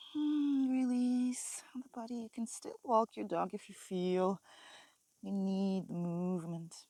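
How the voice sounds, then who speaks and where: A woman speaks very slowly in a medium pitch, her tone calm, dark and mellow. Her intonation is lively. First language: not English. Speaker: yoga teacher. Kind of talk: guided yoga class. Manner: slow, calm.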